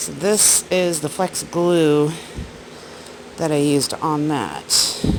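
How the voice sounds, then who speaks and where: Long, frequent pauses break up very slow speech, with noticeable noise in the background. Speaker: full-time RV living vlogger. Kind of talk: casual vlog narration. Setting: outdoors at night beside RV. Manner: quiet, speaking softly.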